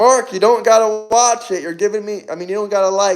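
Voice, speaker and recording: Over background music, a man with an American accent talks at a fairly quick pace in a high pitch. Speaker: political commentator livestreamer. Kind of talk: live stream chat answering viewer comments. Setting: live stream.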